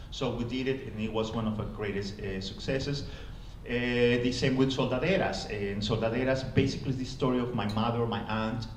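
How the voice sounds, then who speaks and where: Against noticeable background noise and audible room echo, a man of medium pitch talks at a fairly quick pace with a Spanish accent and fairly even intonation. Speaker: playwright. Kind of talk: panel talk. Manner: halting.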